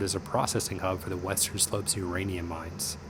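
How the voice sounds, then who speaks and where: A man's fairly even voice against noticeable background noise. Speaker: navy fighter pilot. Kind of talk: narration to camera.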